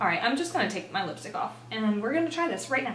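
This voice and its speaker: The speaker has an animated tone. Noticeable background noise and audible room echo fill the recording. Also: woman. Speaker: beauty vlogger. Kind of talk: product unboxing review. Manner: fast.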